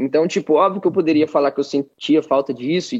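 This man has a plain, everyday voice, pitched fairly high. He speaks at a moderate pace. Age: 20s. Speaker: college athlete and student abroad. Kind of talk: casual chat.

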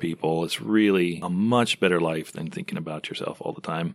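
A man in an ordinary speaking voice with lively intonation and a moderate pace, on a very clean recording with a silent background. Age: 40s. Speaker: church elder. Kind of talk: casual chat.

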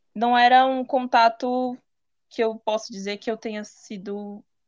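Recorded dry and close with no echo against a quiet background, a woman speaks at a fairly slow pace. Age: 20s. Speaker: visual artist sharing testimony. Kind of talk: testimony. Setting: video call.

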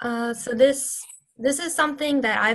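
Speaking at a moderate pace with fairly even intonation, a woman with an American accent has a plain, everyday voice. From US South, Louisiana (Baton Rouge), later Houston. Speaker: university student and activist. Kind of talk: interview.

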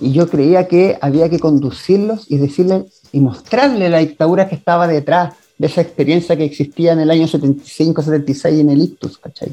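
A man's fairly high-pitched voice with a dark, mellow tone, at a moderate pace with hardly any pauses. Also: ordinary pitch variation. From Chile. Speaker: theatre director. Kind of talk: interview. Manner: halting.

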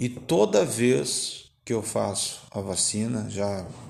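Fairly low male pitch with vocal fry and audible room echo. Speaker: podcast host. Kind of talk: casual chat. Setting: home.

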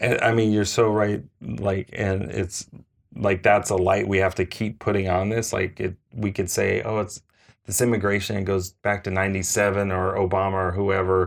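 An unremarkable speaking voice from a man, fairly low in pitch, at a moderate pace with fairly even intonation and a quiet background. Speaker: podcast co-host. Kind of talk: casual chat with news reading. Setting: on location in Chicago.

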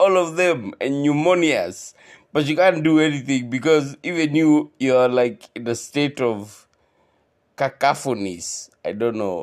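The recording is very clean, with a silent background. A man with a fairly high pitch speaks at a very slow pace. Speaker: podcaster. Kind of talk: comedy rant. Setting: casual solo podcast. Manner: switches between English and Swahili slang.

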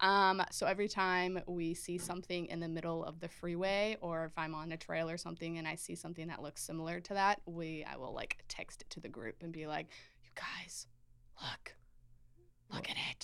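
A woman with an unremarkable speaking voice talks at a moderate pace. Her pitch is fairly low and her intonation fairly even. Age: 20s. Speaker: college student band member. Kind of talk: casual chat.

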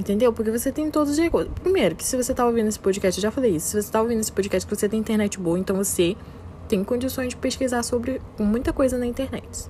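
Delivered at a very fast pace, the talking shows ordinary pitch variation. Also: woman, fairly high pitch for a woman. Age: 20s. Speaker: podcaster. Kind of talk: motivational monologue.

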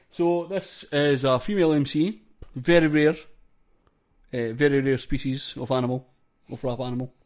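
A man with a Scottish accent talks at a moderate pace with ordinary pitch variation and a fairly high pitch. His speech has long, frequent pauses. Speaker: podcast host. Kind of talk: casual chat.

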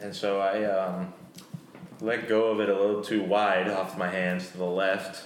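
Over noticeable background noise, a man with a fairly low pitch speaks at a fairly slow pace in a flat, monotone delivery. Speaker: host's brother.

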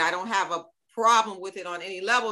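A woman at a medium pitch, very fast pace and animated tone. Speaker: guest, musician and speaker on race. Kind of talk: casual conversation interview. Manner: animated, lively.

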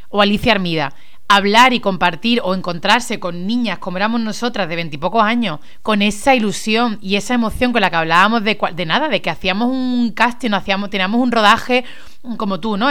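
An animated woman's voice, medium in pitch with ordinary pitch variation, at a fairly quick pace with audible room echo. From Spain, Málaga. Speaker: radio host. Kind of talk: casual chat.

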